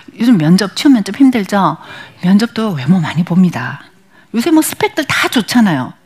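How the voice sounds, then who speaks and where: A woman's medium-pitched voice moves through very wide pitch swings. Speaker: image consultant and lecturer. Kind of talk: lecture. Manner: fast.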